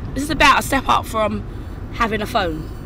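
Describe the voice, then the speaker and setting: A woman talks at a moderate pace, her voice dry with no echo over noticeable background noise. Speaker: vlogger. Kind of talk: casual vlog chat. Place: car. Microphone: phone near.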